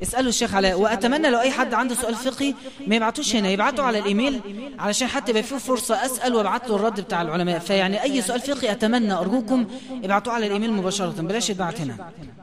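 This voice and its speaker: A man's high-pitched voice at a very fast pace, with audible room echo and noticeable background noise. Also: ordinary pitch variation. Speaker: preacher. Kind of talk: religious lesson.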